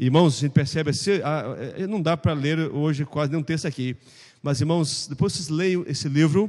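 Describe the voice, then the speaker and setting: Speaking at a fairly quick pace, a man uses a fairly high voice. His pitch moves with ordinary variation. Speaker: pastor teaching Sunday school. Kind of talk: Bible class lecture. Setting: church classroom. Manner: fast.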